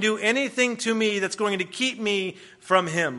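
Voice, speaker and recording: In an American accent, the voice is raised and projected with a bright, sharp tone. The pace is moderate and the intonation fairly even. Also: man. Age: 20s. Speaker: guest preacher. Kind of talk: sermon. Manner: hesitant, many fillers.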